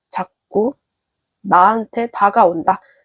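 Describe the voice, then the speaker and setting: The speaker is a woman. Her delivery is very slow. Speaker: tarot reader. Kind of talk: tarot reading to camera.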